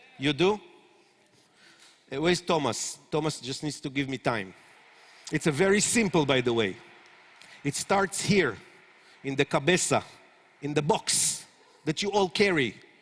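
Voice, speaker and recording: Speaking in an Israeli accent at a moderate pace, a man with fairly high pitch, an animated tone, and lively intonation leaves long, frequent pauses. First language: Hebrew. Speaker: startup consultant. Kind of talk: conference lecture. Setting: stage with audience.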